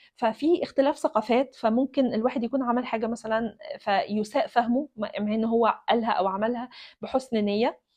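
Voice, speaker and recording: Her pitch moves up and down in an ordinary way. The female voice sits high. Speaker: doctor and video blogger. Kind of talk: personal storytelling monologue. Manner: casual, hesitant with fillers and repetitions.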